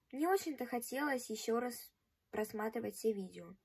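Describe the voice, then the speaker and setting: Against a quiet background, a woman talks at a moderate pace in a high voice. Her pitch varies in an ordinary way. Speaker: vlogger. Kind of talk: casual vlog chat. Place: home room. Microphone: phone near.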